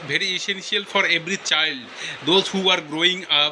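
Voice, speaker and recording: A man with a high pitch and fairly even intonation at a moderate pace, against noticeable background noise. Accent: Bengali. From West Bengal, India. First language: Bengali. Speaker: English learner. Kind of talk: casual chat.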